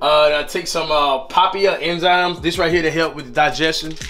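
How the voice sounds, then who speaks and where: A man's voice with clear music in the background. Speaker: fitness vlogger. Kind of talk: casual vlog chat. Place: kitchen.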